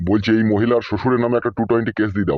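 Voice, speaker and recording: A man's gruff put-on character voice at medium pitch, very fast, with very even loudness and fairly even intonation. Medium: cartoon. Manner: gruff, abusive, scolding.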